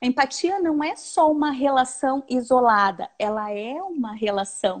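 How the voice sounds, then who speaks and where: A woman speaks in a high pitch with lively intonation. Her pace is fairly slow, and the background is quiet. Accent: strong Porto Alegre. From southern Brazil, Porto Alegre. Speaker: researcher and educator. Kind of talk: live-streamed academic dialogue. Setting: video call live stream.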